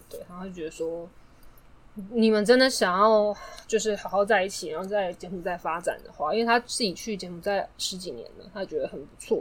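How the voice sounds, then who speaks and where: A woman speaks in an unremarkable speaking voice at a medium pitch, moving at a fairly quick pace with ordinary pitch variation. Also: big swings in loudness. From Taiwan. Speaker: podcast guest. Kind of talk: casual chat. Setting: studio.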